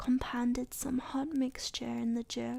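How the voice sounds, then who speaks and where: A soft-spoken woman talks at a very slow pace. Her voice is high in pitch, with a dark, mellow tone. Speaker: ASMR content creator. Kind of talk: soft-spoken ASMR story reading. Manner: soft-spoken, relaxing.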